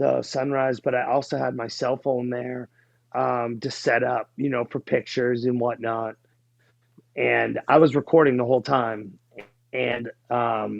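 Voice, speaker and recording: In a Boston accent, a man speaks at a fairly slow pace and medium pitch. His intonation is monotone and flat. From New England (New Hampshire near Boston). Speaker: life coach. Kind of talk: interview.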